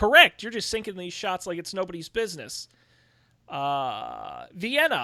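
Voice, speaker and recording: In a very clean recording with a silent background, a raised, projected voice with a bright, sharp tone moves at a fairly slow pace, with lively intonation and big swings in loudness. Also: man, high pitch for a man. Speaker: game master. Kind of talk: tabletop role-playing game. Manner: mumbly.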